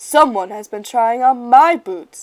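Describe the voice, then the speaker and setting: A woman's high-pitched, put-on character voice at a fairly slow pace. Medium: read story.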